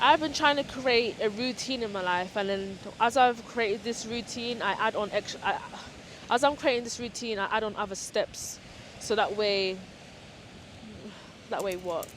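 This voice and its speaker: A woman talks at a moderate pace, pausing long and often. Her pitch is fairly high, with ordinary pitch variation. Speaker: lifestyle vlogger. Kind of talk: casual vlog talk to camera. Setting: outdoors at the beach. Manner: halting, self-correcting. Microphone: small camera's built-in microphone, held in hand.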